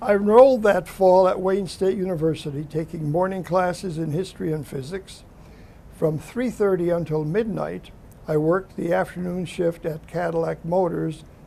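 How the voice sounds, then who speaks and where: Speaking with an American accent, a man uses a high pitch, a dark, mellow tone, ordinary pitch variation and a moderate pace. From US Midwest, Detroit, Michigan. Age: 80s+. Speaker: war veteran. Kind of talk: oral history interview, reading prepared memoir. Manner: formal.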